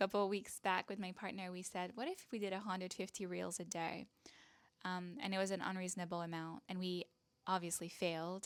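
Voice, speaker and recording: In a Quebec accent, a woman speaks at medium pitch with fairly even intonation in a very clean recording with a silent background. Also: fairly quick pace. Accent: French Canadian accent in English. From Canada, French-speaking. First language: French. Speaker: online business coach and content creator. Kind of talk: casual talk to camera.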